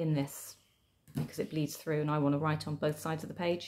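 A woman talks at a moderate pace in a very deep, low pitch with ordinary pitch variation. Light background noise sits behind her. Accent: British. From Britain. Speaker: tarot and journaling video creator. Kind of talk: casual show-and-tell tutorial. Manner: chatty, with fillers. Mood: calm, friendly.

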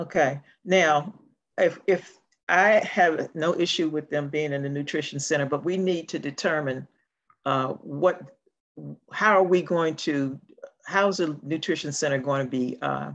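A woman talks with a very deep, low voice at a fairly slow pace. Her speech has long, frequent pauses over a quiet background. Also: ordinary pitch variation. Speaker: council member in a remote meeting. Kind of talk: meeting discussion. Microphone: video call.

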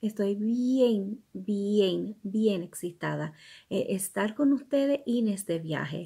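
At a very slow pace, a woman with an American accent speaks in a somewhat breathy voice with a dark, mellow tone against a quiet background. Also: ordinary pitch variation. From New York. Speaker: ESL teacher. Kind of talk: casual bilingual self-introduction to camera. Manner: upbeat. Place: home room. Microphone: phone near.

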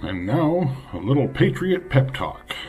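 A man's voice is heard with faint music in the background. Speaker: video creator, political commentator. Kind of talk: casual political rant to camera, then a rhetorical pep talk. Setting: home video, self-recorded. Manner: profane and brash, self-mocking, punchy; pep-talk stretch: rising, fiery, declamatory, alliterative, defiant. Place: home room. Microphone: phone near.

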